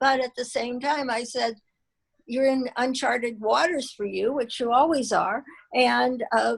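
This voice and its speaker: This woman has a high pitch and fairly even intonation. She speaks at a fairly slow pace. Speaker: small business owner. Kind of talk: interview.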